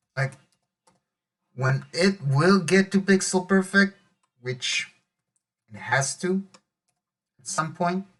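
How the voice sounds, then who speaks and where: A man with a high voice talks at a very slow pace with ordinary pitch variation and long, frequent pauses. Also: big swings in loudness. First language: Hebrew. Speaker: web developer youtuber. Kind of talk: coding tutorial commentary. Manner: thinking aloud, mumbling to self.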